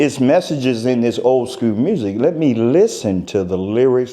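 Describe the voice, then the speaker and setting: This man has a normal speaking voice and talks at a moderate pace. His intonation is lively. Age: 60s. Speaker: concert and event promoter. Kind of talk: interview. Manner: casual, conversational.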